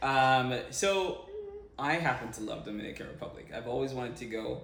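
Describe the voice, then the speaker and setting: Over noticeable background noise and audible room echo, a man talks at a moderate pace in a medium pitch with ordinary pitch variation. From Jamaica, Montego Bay. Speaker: vlogger, co-host. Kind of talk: casual chat.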